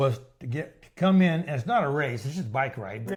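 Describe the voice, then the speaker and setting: Speaking at a moderate pace, a man with a somewhat breathy voice shows ordinary pitch variation. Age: 70s. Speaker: long-distance cyclist. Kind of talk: interview answer.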